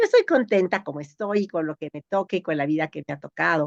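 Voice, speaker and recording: Here is an unremarkable speaking voice from a woman with a fairly low pitch and lively intonation. The sound is dry and close, with no echo. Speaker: geneticist. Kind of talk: interview.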